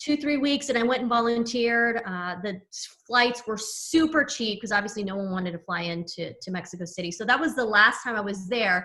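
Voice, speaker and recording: Fairly high in pitch, a woman talks at a fairly quick pace with lively intonation. She leaves hardly any pauses. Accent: American. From US West Coast, San Diego. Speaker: personal branding coach. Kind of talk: podcast interview.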